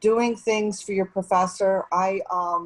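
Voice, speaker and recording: A woman with an ordinary speaking voice, a moderate pace and fairly even intonation. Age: 60s. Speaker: nonprofit executive director. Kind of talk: panel discussion.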